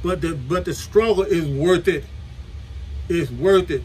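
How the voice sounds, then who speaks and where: Light background noise runs under the recording. A man talks at a fairly slow pace. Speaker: preacher. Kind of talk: sermon. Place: home room. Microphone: webcam.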